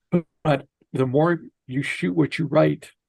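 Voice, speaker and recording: A man with an unremarkable speaking voice talks at a medium pitch and a fairly slow pace. His pitch varies in an ordinary way, and the sound is dry and close with no echo. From Minnesota, US Midwest. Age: 60s. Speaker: filmmaker and author. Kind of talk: interview.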